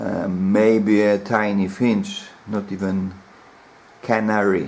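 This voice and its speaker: Over noticeable background noise, a man with a non-native accent talks at a fairly low pitch with ordinary pitch variation. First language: not English. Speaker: bird keeper. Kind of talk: casual talk to camera. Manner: slow.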